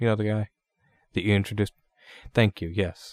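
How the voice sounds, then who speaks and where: With no echo, the sound is dry and close, captured in a very clean recording against a silent background. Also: man. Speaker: podcast host. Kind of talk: casual chat.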